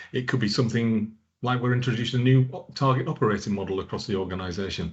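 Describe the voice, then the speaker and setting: Fairly even intonation holds across very fast delivery. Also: man. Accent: northern English. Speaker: product manager. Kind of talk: conference presentation. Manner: hesitant with repetitions.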